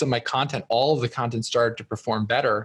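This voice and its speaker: A man's ordinary speaking voice, medium in pitch, fairly quick and fairly even in intonation. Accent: American. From US Northeast (New Jersey). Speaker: entrepreneur and author. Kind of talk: podcast interview.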